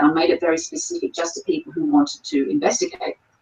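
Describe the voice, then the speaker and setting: A woman speaks with an Australian accent. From Australia, Sydney. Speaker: paranormal investigator. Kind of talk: interview. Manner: hesitant with fillers.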